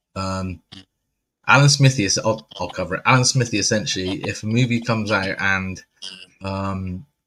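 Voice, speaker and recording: A man with an English accent, a very deep, low pitch, ordinary pitch variation, a fairly quick pace and a bright, sharp tone. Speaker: horror movie podcast host. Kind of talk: casual chat.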